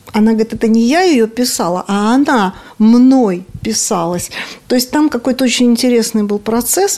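A woman's fairly high voice at a moderate pace, lively in intonation and very even in loudness, with noticeable background noise. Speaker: radio culture columnist. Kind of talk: interview.

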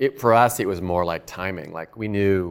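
A man with a normal speaking voice talks at a fairly low pitch and moderate pace, with ordinary pitch variation. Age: 50s. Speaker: pastor and church planter. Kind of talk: talk to fellow church planters.

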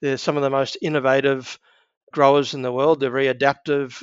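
This man speaks with an Australian accent. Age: 60s. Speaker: agribusiness executive. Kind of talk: interview.

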